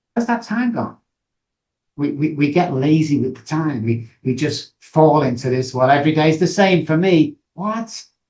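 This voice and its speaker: A man with a Manchester accent speaks in a fairly high, somewhat breathy voice with lively intonation. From northern England, Manchester. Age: 60s. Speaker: addiction recovery expert. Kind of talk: podcast interview. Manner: animated.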